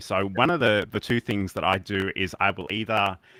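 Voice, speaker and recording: With an Australian accent, a man speaks at a moderate pace in a fairly low voice. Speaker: livestreaming educator and show co-host. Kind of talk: casual tech talk show chat. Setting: live stream in browser studio. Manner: hesitant, many fillers.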